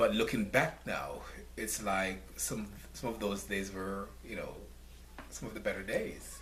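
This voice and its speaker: Speaking at a fairly slow pace, a man leaves long, frequent pauses. Noticeable background noise and audible room echo fill the recording. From Jamaica (rural St. Thomas parish). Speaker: nonprofit founder. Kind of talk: interview.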